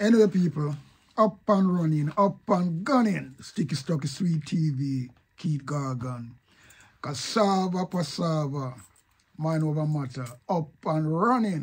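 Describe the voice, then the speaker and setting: A man with a Jamaican accent, fairly high pitch and lively intonation at a very slow pace. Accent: Jamaican Patois. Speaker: online commentator. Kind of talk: casual video commentary.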